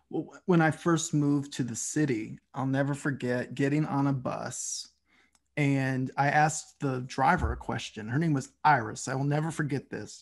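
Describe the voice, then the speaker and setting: A man's fairly high voice in a Southern US accent, at a moderate pace with fairly even intonation, over a quiet background. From US South, Tennessee (Nashville). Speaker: podcast host. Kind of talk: interview conversation.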